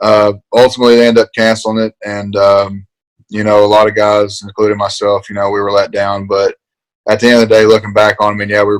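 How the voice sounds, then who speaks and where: Very fast and monotone, a man with an Appalachian accent talks at a fairly low pitch with flat intonation. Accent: Appalachian Southern US. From eastern Kentucky, Appalachia (Paintsville). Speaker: college football player, NFL draft prospect. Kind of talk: interview. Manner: halting, many fillers.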